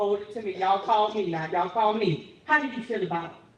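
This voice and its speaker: Audible room echo and noticeable background noise surround a woman's voice. Her pitch is medium, with ordinary variation. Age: 60s. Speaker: community interviewer. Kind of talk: interview. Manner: casual, halting.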